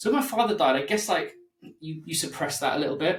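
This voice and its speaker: A man speaks with music playing in the background. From East London, England. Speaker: podcaster, former musician in recovery. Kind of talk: casual interview conversation.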